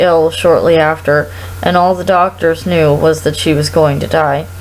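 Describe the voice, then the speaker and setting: Moderate pace over noticeable background noise. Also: woman. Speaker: performer. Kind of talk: read story.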